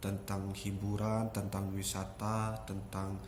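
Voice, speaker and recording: A man's fairly low, monotone, flat voice at a very slow pace, with noticeable background noise and audible room echo. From West Java, Indonesia (Sukabumi, Sundanese). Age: 20s. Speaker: vlogger, migrant worker. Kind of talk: casual vlog talk to camera. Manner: hesitant, many fillers.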